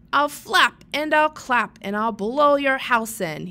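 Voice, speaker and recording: A woman puts on a character voice, shrill and high in pitch, at a fairly slow pace. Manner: screeching, squawking.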